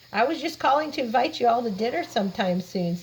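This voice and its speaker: A woman puts on a character voice. It is high-pitched and very fast. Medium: read story.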